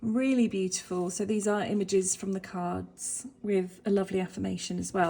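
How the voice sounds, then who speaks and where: In a British accent, a woman talks at a fairly quick pace and medium pitch. Her voice is somewhat breathy, with a dark, mellow tone. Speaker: tarot reader and holistic life coach. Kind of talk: casual deck walkthrough to camera. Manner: animated.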